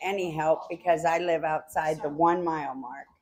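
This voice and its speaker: A woman's fairly low voice at a fairly slow pace, a plain, everyday voice, on a very clean recording with a silent background. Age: 60s. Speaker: resident affected by chemical spill. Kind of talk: testimony.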